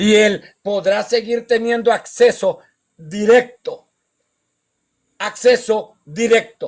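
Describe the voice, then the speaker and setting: This man has a high pitch. He talks at a very slow pace. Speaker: pastor and evangelist. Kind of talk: sermon. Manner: slow, deliberate.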